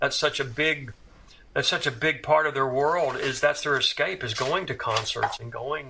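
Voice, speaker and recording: Here is a man with an American accent and a bright, sharp tone. His pitch is fairly high, his intonation fairly even, and his pace moderate. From US South, Tuscaloosa, Alabama. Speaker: career drummer. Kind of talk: interview. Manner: halting, many repetitions and fillers.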